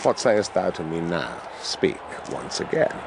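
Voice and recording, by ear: With clear music in the background, a man uses a put-on character voice, low-pitched with vocal fry and big pitch swings, at a fairly slow pace.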